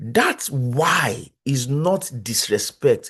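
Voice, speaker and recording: A man speaks with a strong Nigerian accent against a quiet background. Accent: thick Nigerian. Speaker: psychologist, conference speaker. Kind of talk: lecture. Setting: video call.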